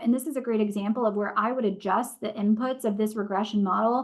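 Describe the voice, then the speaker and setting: A woman talks at a fairly quick pace and a fairly high pitch, with fairly even intonation. Hers is an ordinary speaking voice. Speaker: marketing analytics presenter. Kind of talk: webinar tutorial. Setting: webinar.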